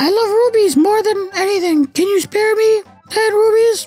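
With faint music behind him, a man does a put-on character voice at extremely high pitch and a moderate pace.

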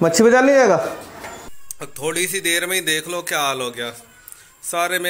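A man's voice sits fairly high in pitch and carries a bright, sharp tone.

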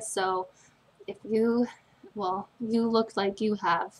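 This woman speaks at a very slow pace with fairly even intonation. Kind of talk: soft spoken personal attention role-play. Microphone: webcam.

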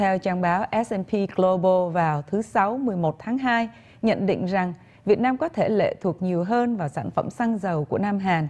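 A dark, mellow woman's voice at medium pitch, fairly slow, with ordinary pitch variation. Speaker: news anchor. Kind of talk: news reading. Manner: formal. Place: studio. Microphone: lapel.

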